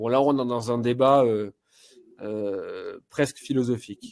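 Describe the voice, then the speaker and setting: The man's tone is dark and mellow. His pitch sits in the medium range. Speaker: love coach. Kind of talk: advice talk show. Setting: online live show.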